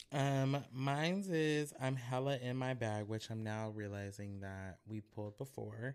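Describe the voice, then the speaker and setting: A man of medium pitch speaks at a fairly slow pace with hardly any pauses. He has a normal speaking voice with ordinary pitch variation. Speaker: podcast host. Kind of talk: casual chat.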